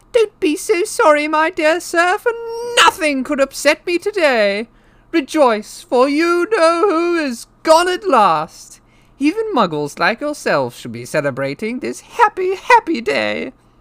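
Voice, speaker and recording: A squeaky, high put-on character voice at a fairly slow pace. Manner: cheerful, delighted, effusive.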